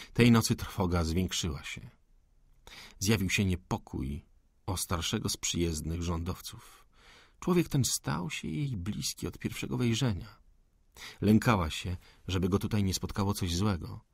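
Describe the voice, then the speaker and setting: In a very deep, low voice with vocal fry, a man speaks at a fairly slow pace in an animated tone, captured on a very clean recording with a silent background. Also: lively intonation. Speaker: audiobook narrator. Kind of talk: dramatic audiobook narration of a 19th-century novel, tense and hushed. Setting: studio.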